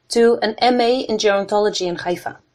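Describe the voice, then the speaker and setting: The speaker moves at a fairly quick pace with a Dutch accent. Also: woman. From Netherlands. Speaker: podcast host, PhD candidate. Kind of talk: interview. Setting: online call from home.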